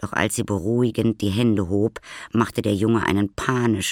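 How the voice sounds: Fairly even intonation in a natural reading voice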